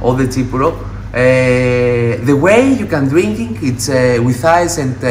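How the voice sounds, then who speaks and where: The audio has audible room echo and light background noise. A man talks at a fairly slow pace with ordinary pitch variation. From Greece. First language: Greek. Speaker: mixologist. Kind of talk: tutorial. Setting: liquor store. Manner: halting. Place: shop. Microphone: phone near.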